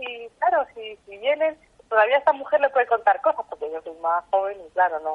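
At a fairly quick pace, a woman with a normal speaking voice talks with lively intonation. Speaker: local folklore expert. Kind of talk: interview.

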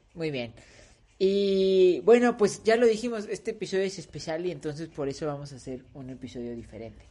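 The words come out fairly quickly. Behind them, things stay quiet. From Mexico, not Puebla. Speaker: podcast co-host. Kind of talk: casual chat.

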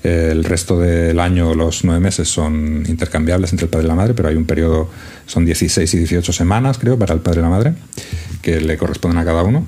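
A man with a very deep, low voice talks at a fairly quick pace, his intonation fairly even. His loudness stays very even over noticeable background noise. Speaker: podcast co-host. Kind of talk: casual chat.

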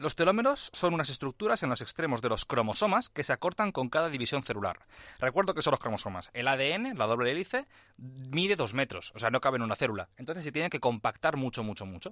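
Very fast and full of very wide pitch swings, the bright, sharp voice sounds dry and close with no echo over a quiet background. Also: man, fairly high pitch for a man. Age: 20s. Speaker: biotechnologist, PhD researcher. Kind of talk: science explainer on radio.

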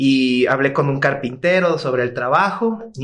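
A man with a Mexican accent speaks at a fairly slow pace, his intonation lively. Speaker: furniture designer. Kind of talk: casual chat.

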